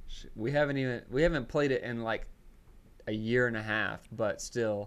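A man with a Southern US accent talks at a fairly quick pace, his medium pitch moving with ordinary variation. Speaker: podcast co-host. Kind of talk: casual banter, happy hour podcast. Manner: animated, slangy.

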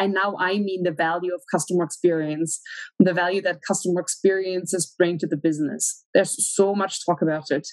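This woman speaks with a German accent and fairly even intonation. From Germany. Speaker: research analyst. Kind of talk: interview.

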